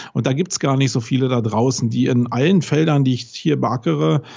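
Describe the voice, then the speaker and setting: Somewhat breathy, a man speaks at a moderate pace with a fairly high pitch. His pitch varies in an ordinary way. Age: 40s. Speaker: SEO agency owner. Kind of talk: podcast interview.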